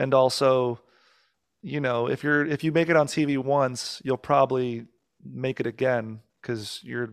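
With fairly even intonation, a man talks at a medium pitch. The recording is very clean and the background silent. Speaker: musician and comedian. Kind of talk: casual chat. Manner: rambling.

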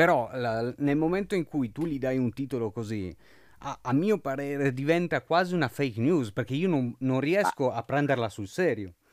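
A man talks at a moderate pace with fairly high pitch and lively intonation. The recording is very clean, with a silent background. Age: 20s. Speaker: journalist and podcast host. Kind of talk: interview. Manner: halting.

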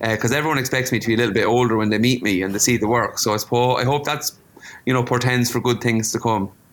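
Speaking very fast in an Irish Midlands accent, a man keeps his pitch medium and his intonation fairly even. His loudness stays very even throughout. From Ireland, County Offaly. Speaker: visual artist. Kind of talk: interview.

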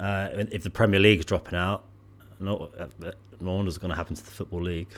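A man with a Bristol accent speaks at a fairly low pitch in a monotone, flat intonation. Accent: West Country English (Bristolian). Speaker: podcast co-host. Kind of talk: casual chat between friends.

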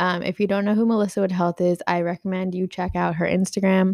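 Here a woman with an American accent speaks at a medium pitch. Her intonation is monotone and flat. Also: dry, close sound with no echo. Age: 20s. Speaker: podcast host. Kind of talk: casual monologue.

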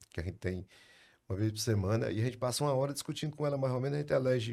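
On a very clean recording with a silent background, a man with a dark, mellow tone talks at a very fast pace with ordinary pitch variation. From Brazil, Ceará interior. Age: 60s. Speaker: lawyer, law firm founder. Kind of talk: casual interview chat.

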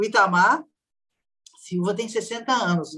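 A woman in a normal speaking voice, fairly slow pace, ordinary pitch variation. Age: 60s. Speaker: social scientist, violence researcher. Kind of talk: interview conversation.

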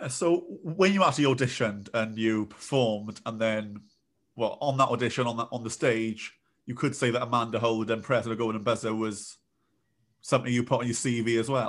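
Over a very clean recording with a silent background, a man at medium pitch speaks fairly quickly with ordinary pitch variation. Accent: British. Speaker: podcast host. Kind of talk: interview.

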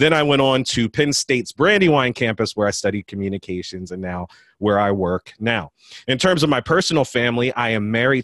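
A plain, everyday voice moves at a moderate pace with lively intonation, recorded dry and close with no echo against a quiet background. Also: man. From US, West Philadelphia. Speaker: college admissions administrator and podcast host. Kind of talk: speech to an audience.

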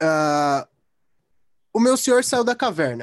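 A man talks in an animated tone with very wide pitch swings. The sound is dry and close, with no echo. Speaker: philosophy YouTuber. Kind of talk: casual chat.

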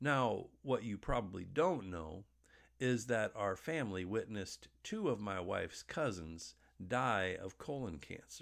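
Here is a man with an ordinary speaking voice at medium pitch and lively intonation. He goes at a fairly slow pace on a very clean recording with a silent background. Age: 50s. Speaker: pastor. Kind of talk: sermon.

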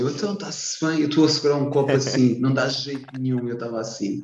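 Someone with a European Portuguese accent speaks at a fairly quick pace with fairly even intonation. Audible room echo and noticeable background noise are present. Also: man. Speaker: podcast host. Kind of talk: casual chat. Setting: wearing a mask.

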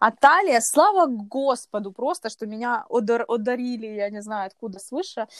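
In a very clean recording with a silent background and a dry, close sound with no echo, a woman with an unremarkable speaking voice talks at a fairly slow pace, her fairly high pitch showing ordinary variation. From Kyiv, Ukraine. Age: 20s. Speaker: runner. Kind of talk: casual chat.

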